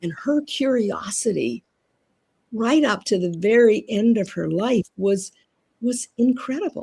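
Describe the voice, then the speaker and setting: In a Canadian accent, a woman with a dark, mellow tone and a somewhat breathy voice speaks at a fairly slow pace with lively intonation. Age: 80s+. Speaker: retired theater teacher. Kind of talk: interview. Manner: halting.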